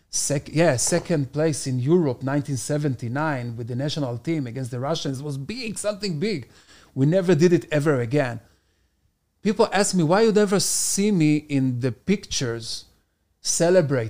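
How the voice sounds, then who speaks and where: A man with an Israeli accent, fairly high pitch, lively intonation, moderate pace. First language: Hebrew. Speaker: stand-up comedian. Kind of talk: casual chat.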